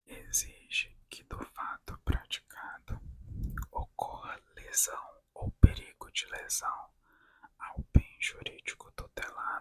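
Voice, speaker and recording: Whispering at a very slow pace, a woman's voice shows big swings in loudness. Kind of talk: ASMR reading of law text. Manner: whispered, soft.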